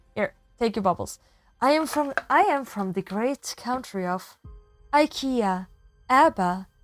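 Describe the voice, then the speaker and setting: Music plays in the background. A woman talks with ordinary pitch variation. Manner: playful, jokey.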